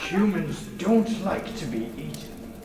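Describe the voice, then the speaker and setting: A man puts on a character voice, high-pitched and fairly slow. There is clear background noise and a slight echo. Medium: comedy sketch. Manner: condescending, dry.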